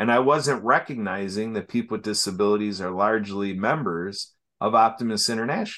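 In an American accent, a man with an unremarkable speaking voice talks at a medium pitch with ordinary pitch variation against a quiet background. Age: 50s. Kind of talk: interview.

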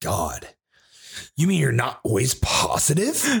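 A man's animated tone at a moderate pace. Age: 20s. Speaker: podcast host. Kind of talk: casual chat. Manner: loud.

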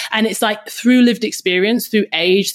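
A woman with a British accent speaks at a moderate pace in an energetic tone. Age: 30s. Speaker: podcast host and personal trainer. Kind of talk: casual chat.

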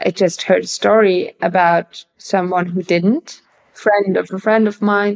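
The intonation is monotone and flat. A woman speaks at a medium pitch and a fairly slow pace. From Germany, Bavaria. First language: German. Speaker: actress and filmmaker. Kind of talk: interview. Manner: halting.

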